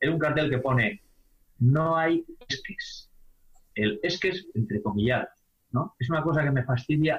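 A man speaks at a fairly slow pace in a somewhat breathy voice. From Spain, Palencia (Castilla y León). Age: 50s. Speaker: basketball coach and high school teacher. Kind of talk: interview.

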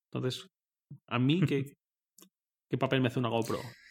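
With a mid-range pitch, a man delivers his words in a flat monotone. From Spain, Torrent (Valencia). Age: 20s. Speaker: tech journalist. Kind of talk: casual chat.

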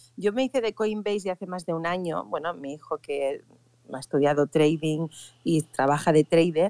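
A woman's fairly low, dark and mellow voice with lively intonation, at a moderate pace, in a dry, close sound with no echo. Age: 50s. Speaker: event organizer. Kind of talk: casual chat.

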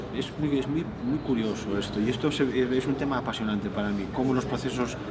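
Over noticeable background noise and audible room echo, a man talks at a moderate pace with medium pitch and ordinary pitch variation. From Spain. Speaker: physicist and novelist. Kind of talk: interview. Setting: noisy book fair press area. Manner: halting, many repetitions.

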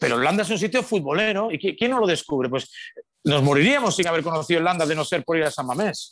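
Talking very fast in a high voice, a man keeps lively intonation and very even loudness. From Galicia, Spain (Pontevedra). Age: 50s. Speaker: sports radio broadcaster. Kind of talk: casual interview chat.

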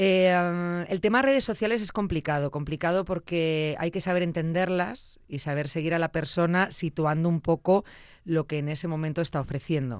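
A plain, everyday voice from a woman, fairly low-pitched, ordinary pitch variation, moderate pace. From Zamora, Spain. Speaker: radio and podcast host. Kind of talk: interview.

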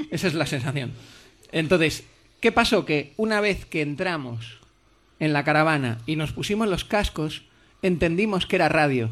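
An unremarkable speaking voice with lively intonation at a moderate pace, recorded very cleanly against a silent background. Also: man. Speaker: TV presenter. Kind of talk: casual interview. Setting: stage with audience.

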